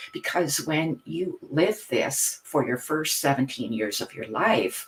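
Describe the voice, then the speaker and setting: Fairly slow male speech with noticeable background noise. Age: 60s. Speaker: retired teacher and hypnotherapist. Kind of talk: interview testimony. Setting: podcast interview.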